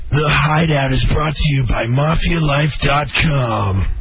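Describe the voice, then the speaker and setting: At a fairly slow pace, a man puts on a character voice pitched fairly high. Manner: announcer reading.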